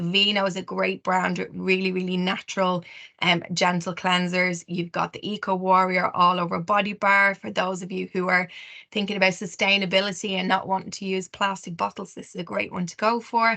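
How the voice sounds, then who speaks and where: A bright, sharp tone with an Irish accent, flat monotone delivery at a fairly quick pace over a quiet background. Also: woman, medium pitch for a woman. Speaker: skincare specialist. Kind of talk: webinar presentation. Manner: fast.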